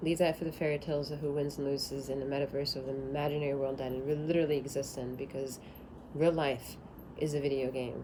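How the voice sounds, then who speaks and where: A woman with a very deep, low voice talks at a very fast pace, with audible room echo. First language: not English. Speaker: tarot reader. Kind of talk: tarot reading. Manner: animated.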